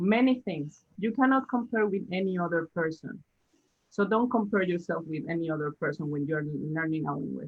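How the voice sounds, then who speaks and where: A woman speaks with a Spanish accent and lively intonation. Her pace is moderate. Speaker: language teacher. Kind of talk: casual chat. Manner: halting.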